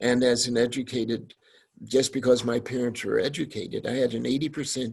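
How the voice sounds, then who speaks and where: A man speaks at a fairly quick pace and medium pitch. His voice is somewhat breathy. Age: 70s. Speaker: deacon, panelist. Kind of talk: panel discussion.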